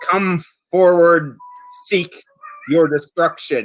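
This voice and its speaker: Sound effects play behind a man using a high-pitched put-on character voice at a very slow pace. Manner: stammering.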